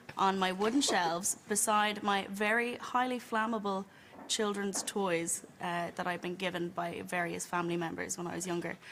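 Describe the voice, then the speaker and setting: Speaking at a moderate pace, a woman with an Irish accent talks at a medium pitch. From Ireland, County Wicklow. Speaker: audience member telling a story. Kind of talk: storytelling anecdote.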